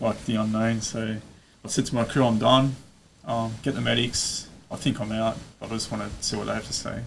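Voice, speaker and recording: Against noticeable background noise, a man with an Australian accent talks fairly quickly at medium pitch in a monotone, flat intonation. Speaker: ultramarathon runner. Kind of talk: casual interview storytelling. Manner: halting, many fillers.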